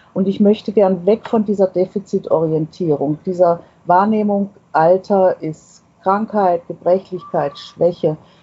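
Here is a woman with a normal speaking voice and a medium pitch. Her intonation is fairly even and her pace fairly slow. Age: 60s. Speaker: author of a self-portrait booklet. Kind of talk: interview. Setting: remote connection.

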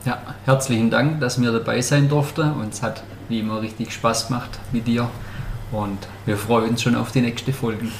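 Over noticeable background noise, a man talks with fairly even intonation, and room echo is audible. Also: medium pitch for a man, moderate pace. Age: 30s. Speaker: wine sales worker, podcast guest. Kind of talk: casual interview.

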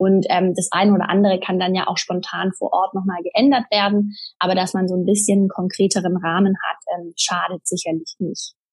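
A woman's somewhat breathy, medium-pitched voice, monotone and flat, at a fairly quick pace with hardly any pauses. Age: 30s. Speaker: traveller sharing her sabbatical experience. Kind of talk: interview. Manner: hesitant with many fillers.

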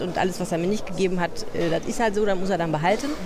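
The clip has audible room echo and noticeable background noise, with ordinary pitch variation in the voice. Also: woman. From Hamburg, later Saxony-Anhalt and Lower Saxony. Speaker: journalist and podcast co-host. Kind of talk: casual chat. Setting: parliament building foyer.

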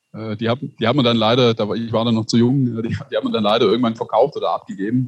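Somewhat breathy and medium in pitch, a man speaks at a very fast pace. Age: 30s. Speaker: publisher, family business owner. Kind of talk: interview conversation. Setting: video call.

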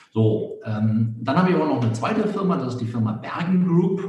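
A man at a moderate pace with lively intonation, plus audible room echo and noticeable background noise. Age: 50s. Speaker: business author and consultant. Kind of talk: podcast interview.

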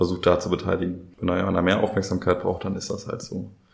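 A man is speaking. His voice is very deep and low. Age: 20s. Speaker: youth participation facilitator, trained educator. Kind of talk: casual interview chat. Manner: hesitant, many fillers.

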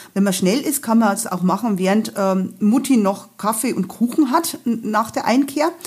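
A woman's fairly slow, fairly high-pitched voice with lively intonation and a slight Bavarian accent, over background music. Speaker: travel guide author and hiking guide. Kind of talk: casual chat.

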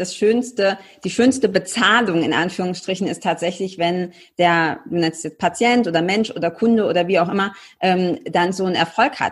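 On a very clean recording with a silent background, a woman speaks at a fairly quick pace and medium pitch, somewhat breathy, with ordinary pitch variation. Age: 30s. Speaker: podcast host and coach. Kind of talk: casual interview.

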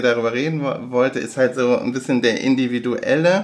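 Over noticeable background noise, a man talks at a moderate pace with a medium pitch and fairly even intonation. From Germany, Aachen (Rhineland). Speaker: podcast co-host. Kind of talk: casual chat. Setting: same room, recorded together. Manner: halting, many fillers.

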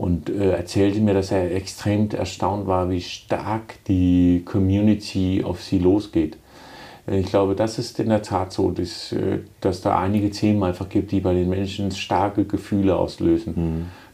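A man with a Danish accent speaks fairly slowly in a flat monotone, his very deep, low pitch carrying a dark, mellow tone. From Denmark. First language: Danish (speaking German). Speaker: city mayor and furniture entrepreneur. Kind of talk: podcast interview.

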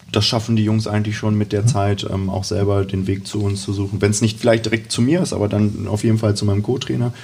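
Over noticeable background noise, a man with fairly low pitch rattles along at a very fast pace with hardly any pauses and fairly even intonation. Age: 20s. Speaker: youth football coach. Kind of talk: casual interview.

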